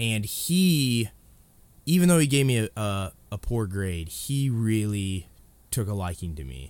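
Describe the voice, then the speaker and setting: At a fairly slow pace, a man with a fairly low pitch makes very wide pitch swings, heard in a very clean recording with a silent background. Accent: American. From Illinois, US Midwest. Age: 20s. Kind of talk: casual chat.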